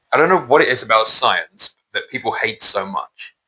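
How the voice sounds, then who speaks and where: A man keeps a moderate pace, speaking in a British accent. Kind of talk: personal testimony monologue. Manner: halting, with repetitions.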